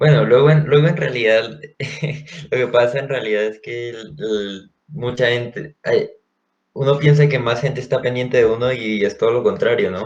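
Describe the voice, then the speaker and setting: Somewhat breathy and medium in pitch, a man's voice moves at a moderate pace with ordinary pitch variation. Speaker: university student podcast co-host. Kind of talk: casual chat.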